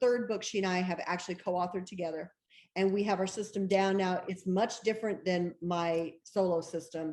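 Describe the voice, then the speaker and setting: The speaker is a woman with a medium pitch. Her speed is moderate. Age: 60s. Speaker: bestselling novelist. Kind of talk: interview. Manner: animated.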